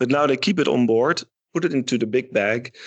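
A man is speaking. He has a Dutch accent. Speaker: shipyard marketing manager. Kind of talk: interview. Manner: halting.

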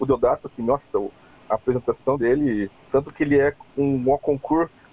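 A man at a fairly high pitch for a man, moderate in pace, with noticeable background noise. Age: 40s. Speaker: cosplayer and illustrator. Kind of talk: casual chat.

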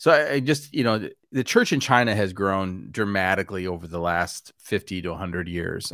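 A man with an American accent speaks in a normal speaking voice, fairly low-pitched and at a fairly quick pace. The recording is very clean, with a silent background. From US Midwest, Wisconsin. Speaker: pastor. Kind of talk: casual interview chat.

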